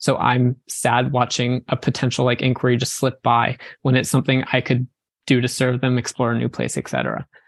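This man talks at a fairly quick pace in a medium pitch with vocal fry. His intonation is flat and monotone, and the sound is dry and close with no echo. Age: 20s. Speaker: wedding photographer. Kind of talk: casual interview.

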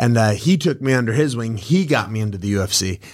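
A man with an American accent, an ordinary speaking voice and ordinary pitch variation. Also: very clean recording, silent background. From Wisconsin, US. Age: 30s. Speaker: professional MMA fighter and boxing coach. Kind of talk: casual podcast interview. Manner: upbeat, positive, laughs often.

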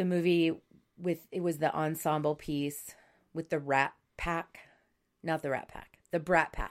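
At a fairly slow pace, a woman talks in a very deep, low voice with monotone, flat intonation and long, frequent pauses. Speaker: yoga teacher and podcast co-host. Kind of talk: casual chat.

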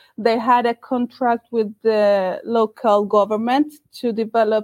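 A woman speaks high-pitched with a Colombian accent. The sound is dry and close, with no echo. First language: Spanish. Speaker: recruiter. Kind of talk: interview.

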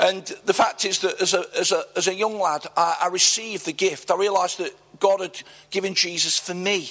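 With an East Midlands accent, a man with a high voice speaks at a moderate pace in monotone, flat intonation over noticeable background noise. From Nottingham, England. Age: 60s. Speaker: church leader. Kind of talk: interview before a live church audience. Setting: church event with audience.

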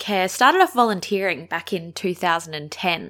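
In a very clean recording with a silent background, a woman with an Australian accent speaks at a fairly low pitch with ordinary pitch variation. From Australia, Adelaide. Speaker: podcast host, aged care worker. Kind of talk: solo podcast monologue.

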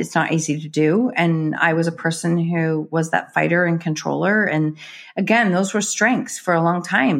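Her pitch fairly low and its variation ordinary, a woman talks in an unremarkable speaking voice. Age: 50s. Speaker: author and NLP practitioner. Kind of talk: interview.

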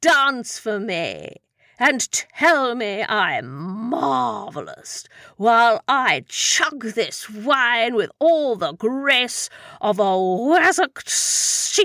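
The voice is a put-on character voice, fairly high in pitch and very slow in pace. The recording is very clean, with a silent background. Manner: blustering, petulant, boozy.

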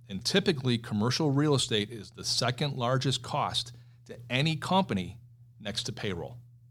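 A man with a Western New York accent at a medium pitch and moderate pace, on a very clean recording with a silent background. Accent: Western New York (Inland North) American. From Buffalo, New York. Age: 50s. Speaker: commercial real estate executive. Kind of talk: interview.

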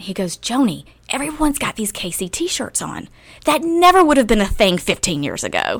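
A woman with a slight Southern US accent talks fast-ish at high pitch, with very wide pitch swings and big swings in loudness. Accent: slight Southern twang. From rural North Carolina, US South. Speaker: former city government chief of staff. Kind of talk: interview.

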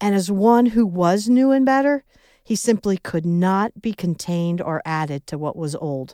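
A woman with a Midwestern US accent, fairly low pitch and lively intonation, in a dry, close sound with no echo on a very clean recording with a silent background. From US Midwest. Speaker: devotional podcast host. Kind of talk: devotional reflection.

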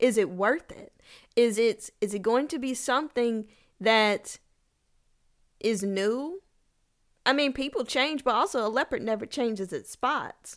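Speaking with a Southern US accent, a woman uses a high pitch and an animated tone at a fairly slow pace with long, frequent pauses, in a very clean recording with a silent background. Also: ordinary pitch variation. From Kentucky. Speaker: podcast host. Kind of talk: casual solo podcast on livestream. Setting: TikTok live recording.

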